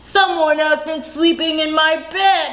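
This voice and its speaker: A woman puts on a character voice at an extremely high pitch. She talks fairly slowly in a monotone, flat intonation. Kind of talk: bedtime story. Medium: read story.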